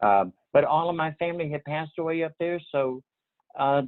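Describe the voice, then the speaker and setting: A man speaks with a strong Southern US accent. His pitch sits fairly high. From US South, Portsmouth, Virginia. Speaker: retirement community resident. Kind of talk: interview. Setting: video call. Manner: halting.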